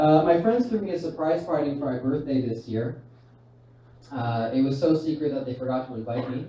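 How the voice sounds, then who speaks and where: Fairly quick, fairly high-pitched speech from a man with ordinary pitch variation, with audible room echo and noticeable background noise. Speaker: stand-up comedian. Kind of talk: stand-up. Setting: stage with audience.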